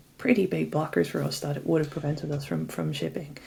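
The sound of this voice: A woman speaks low, with a dark, mellow tone and vocal fry. Her pitch moves very little.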